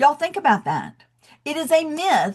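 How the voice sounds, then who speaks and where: A fairly quick pace in a Southern US accent. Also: woman. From US South, Athens, Georgia. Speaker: education coach, debt-free college advisor. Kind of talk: webinar presentation. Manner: animated.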